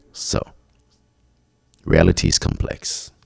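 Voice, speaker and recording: A man speaks with a French accent. Vocal fry runs through his voice. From Quebec, Montreal. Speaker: podcast host. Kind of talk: solo podcast monologue.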